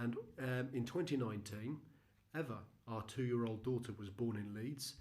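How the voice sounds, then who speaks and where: Somewhat breathy and medium in pitch, a man with a British accent speaks at a moderate pace with fairly even intonation. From UK with Argentinian heritage. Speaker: missionary. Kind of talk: presentation. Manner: hesitant, with frequent fillers.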